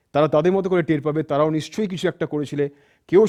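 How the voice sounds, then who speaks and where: A man talks with a fairly high pitch, a dark, mellow tone and ordinary pitch variation. The sound is dry and close with no echo against a quiet background. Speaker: radio jockey. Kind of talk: motivational talk.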